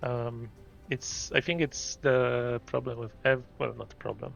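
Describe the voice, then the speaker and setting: With a Polish accent, a man speaks at a very slow pace in a medium pitch. Music plays in the background. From Poland. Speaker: gaming streamer. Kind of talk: casual live stream chat. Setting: live stream. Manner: halting.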